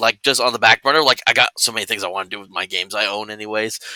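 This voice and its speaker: A man talks at a very fast pace. The tone is bright and sharp, with a dry, close sound and no echo. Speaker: tabletop RPG streamer. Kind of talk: casual chat. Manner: loud.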